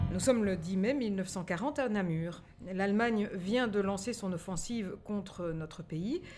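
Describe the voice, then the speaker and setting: This is an ordinary speaking voice. The intonation is lively. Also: woman. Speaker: podcast co-host and narrator. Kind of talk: scripted narration, news-style storytelling.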